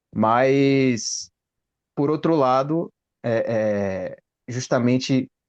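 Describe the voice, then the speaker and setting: This is a man speaking at a medium pitch. His pitch variation is ordinary. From Brazil. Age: 30s. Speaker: engineer. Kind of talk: casual chat. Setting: video call.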